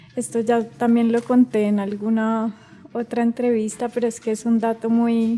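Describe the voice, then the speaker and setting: A woman's fairly high voice at a moderate pace. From Colombia, Cali area. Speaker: singer and voice artist. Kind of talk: interview conversation.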